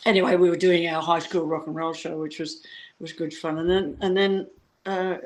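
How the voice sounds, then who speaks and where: A woman speaks with an Australian accent. Her pitch sits in the medium range. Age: 70s. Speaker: rock and roll singer and children's performer. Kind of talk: casual interview chat.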